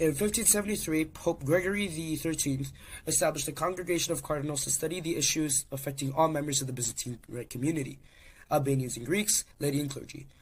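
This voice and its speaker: Very fast speech comes from a man with a fairly high pitch and a somewhat breathy voice. His pitch varies in an ordinary way. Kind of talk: history narration.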